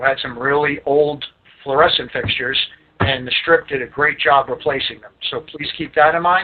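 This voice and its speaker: A man's fairly high voice in a New York accent, at a moderate pace with fairly even intonation. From Staten Island, New York. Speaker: lighting sales rep. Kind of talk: product training presentation. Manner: casual.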